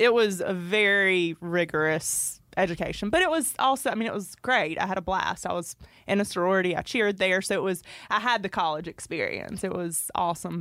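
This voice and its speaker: A woman with a Georgia accent speaks at a fairly quick pace and a medium pitch. The recording is very clean, with a silent background. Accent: US Southern (Georgia). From Northeast Georgia, Royston. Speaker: clothing brand owner. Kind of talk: casual interview.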